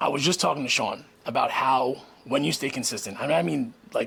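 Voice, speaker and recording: The speech comes at a very fast pace. Vocal fry runs through the voice. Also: man. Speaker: podcast host and former restaurant owner. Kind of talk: casual vlog monologue. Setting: garage at home being turned into a studio. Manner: mumbles at times.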